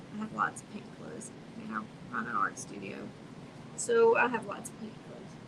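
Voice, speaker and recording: A woman at a moderate pace with long, frequent pauses and big swings in loudness, amid noticeable background noise and audible room echo. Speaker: art studio owner and painting instructor. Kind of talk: live painting stream. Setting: art studio, livestream. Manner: soft-spoken, quiet while painting; casual.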